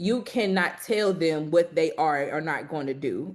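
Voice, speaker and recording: A woman talks with an American accent in a plain, everyday voice. Her pitch is fairly low, with ordinary pitch variation. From southern Illinois, East St. Louis. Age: 20s. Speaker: civil rights organizer. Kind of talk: panel discussion.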